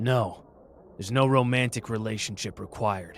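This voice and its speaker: A man puts on a gruff character voice at medium pitch, speaking at a moderate pace. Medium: audio drama. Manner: gruff, impatient, swearing.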